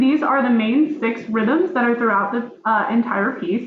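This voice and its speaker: Lively, high-pitched speech from a woman amid noticeable background noise. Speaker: music education student. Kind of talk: presentation of a lesson plan. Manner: halting, many fillers.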